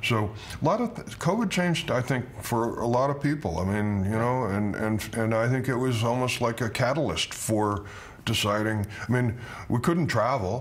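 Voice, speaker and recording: Noticeable background noise and audible room echo surround the voice. The speaker is a man. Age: 70s. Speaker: winemaker. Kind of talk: interview. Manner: halting, many repeated words.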